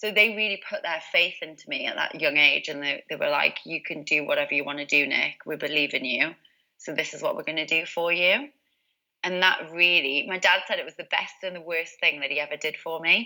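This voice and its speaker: A woman's fairly low voice in a Geordie accent, bright and sharp in tone, at a fairly quick pace with ordinary pitch variation. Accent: Geordie (Newcastle). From northern England, Newcastle. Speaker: positive psychologist and success coach. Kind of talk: interview.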